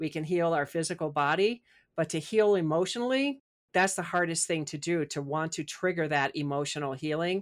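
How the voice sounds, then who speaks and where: A woman with an American accent talks at a fairly quick pace in a normal speaking voice, with ordinary pitch variation, on a very clean recording with a silent background. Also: fairly low pitch for a woman. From US Midwest. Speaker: spiritual author and coach. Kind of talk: interview.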